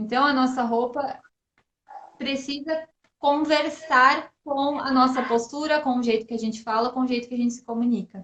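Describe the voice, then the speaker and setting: A high-pitched woman keeps her intonation fairly even while talking at a moderate tempo. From southern Brazil, Santa Catarina. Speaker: image consultant. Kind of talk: interview conversation.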